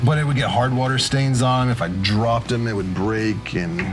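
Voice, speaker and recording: Backed by music and audible room echo, a man with a West Virginia accent speaks at a medium pitch and a moderate pace with ordinary pitch variation. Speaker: tarantula keeper and video creator. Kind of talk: casual chat while rehousing tarantulas. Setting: studio.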